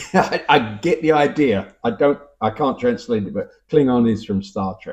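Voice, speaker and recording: In a Cockney accent, a man speaks with lively intonation. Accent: Cockney London English. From London (Cockney). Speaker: YouTuber commenting on language. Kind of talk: casual talk reading viewer comments. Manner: hesitant, conversational with fillers.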